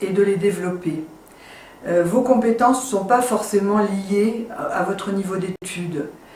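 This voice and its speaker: A woman's very slow, fairly even-toned speech, with audible room echo and noticeable background noise. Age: 60s. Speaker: network marketing entrepreneur. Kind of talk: sales pitch. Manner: hesitant, many fillers.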